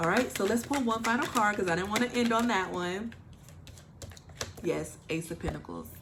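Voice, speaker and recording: A woman speaks at medium pitch with ordinary pitch variation and long, frequent pauses. The room echo is audible, and there is noticeable background noise. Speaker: tarot reader. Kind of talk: channeled tarot reading. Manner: fast; animated.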